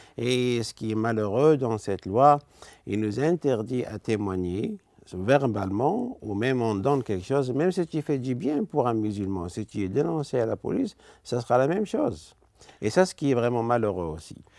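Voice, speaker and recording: A man speaks at a moderate pace in a dark, mellow tone with lively intonation, the sound dry with no echo against a quiet background. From Algeria. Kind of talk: testimony interview; interview answer. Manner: halting. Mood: earnest, calm. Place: studio. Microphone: lapel.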